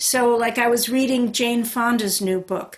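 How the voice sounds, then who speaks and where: This woman has a plain, everyday voice at a fairly high pitch. Her intonation stays fairly even. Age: 60s. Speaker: author. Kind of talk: book launch conversation.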